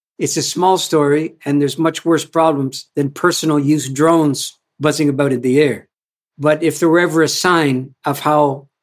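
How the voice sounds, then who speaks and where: Delivered at a moderate pace in an ordinary speaking voice, the speech has fairly even intonation and a Canadian accent. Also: man. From Canada. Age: 60s. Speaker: culture activist and author. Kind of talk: interview conversation. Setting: video call.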